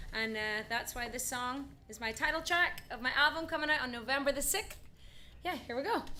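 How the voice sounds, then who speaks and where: In an American accent, a raised, projected voice with a bright, sharp tone carries lively intonation. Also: woman, high pitch for a woman, fairly quick pace. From Northern Ireland, Belfast. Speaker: singer-songwriter. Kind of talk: casual chat between songs on a livestream.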